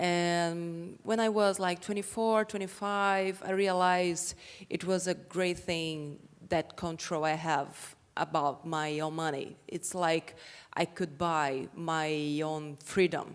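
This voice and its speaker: A woman with a Portuguese accent speaks very slowly at a fairly low pitch. Her intonation is fairly even, and the recording is very clean with a silent background. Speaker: women's rights activist and entrepreneur. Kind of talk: panel discussion.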